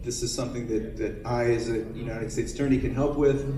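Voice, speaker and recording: A man with fairly even intonation, amid audible room echo and noticeable background noise. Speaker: attorney, panelist. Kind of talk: panel talk. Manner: fast; halting, many fillers.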